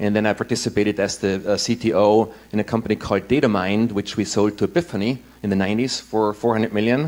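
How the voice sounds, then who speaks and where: A man with an Austrian accent speaks at a very fast pace. His pitch is fairly low and his intonation fairly even. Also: hardly any pauses. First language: German. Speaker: impact investor and former tech executive. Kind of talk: conference talk.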